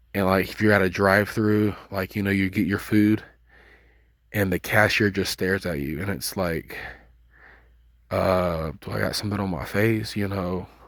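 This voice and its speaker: With long, frequent pauses, a man talks at a moderate pace in a fairly low voice with fairly even intonation. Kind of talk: casual religious monologue. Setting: outdoors at night.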